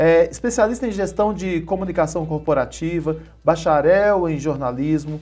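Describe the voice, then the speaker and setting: Pitch varies in an ordinary way as the speech keeps a moderate pace. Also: man, high pitch for a man. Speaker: TV show host. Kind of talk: interview.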